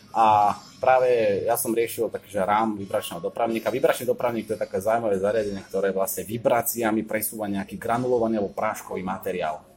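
Over music in the background, a man at medium pitch rushes along at a very fast pace with hardly any pauses and fairly even intonation. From western Slovakia (Hlohovec area). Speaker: engineering PhD student. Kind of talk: casual interview.

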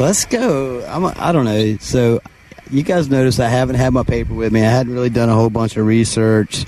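Enthusiastic in tone, a man speaks at a fairly quick pace in a medium pitch with very even loudness. Noticeable background noise is audible. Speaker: sideline reporter. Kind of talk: live sideline commentary. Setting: on the field sideline, outdoors. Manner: enthusiastic, casual.

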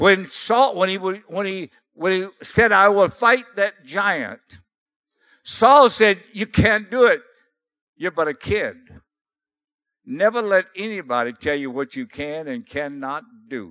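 A man's raised, projected voice, high-pitched with a bright, sharp tone and lively intonation, at a very slow pace with long, frequent pauses, in a dry, close sound with no echo. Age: 80s+. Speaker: missionary preacher. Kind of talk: sermon. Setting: church. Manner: animated.

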